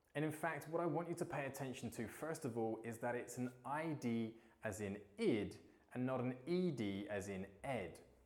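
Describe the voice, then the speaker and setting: In a British accent, a man of medium pitch speaks at a fairly slow pace with lively intonation. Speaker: English teacher. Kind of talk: English lesson to camera.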